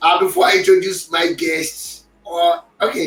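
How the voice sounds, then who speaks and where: A man speaks with music in the background. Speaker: podcast host. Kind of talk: casual sports talk.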